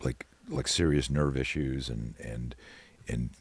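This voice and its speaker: Vocal fry marks the very deep, low voice of a man who speaks at a fairly slow pace. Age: 60s. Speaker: self-defense expert. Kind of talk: casual chat. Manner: animated; halting.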